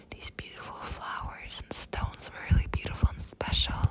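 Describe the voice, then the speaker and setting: Noticeable background noise accompanies a whispered voice. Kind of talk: casual talk to camera. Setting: outdoors.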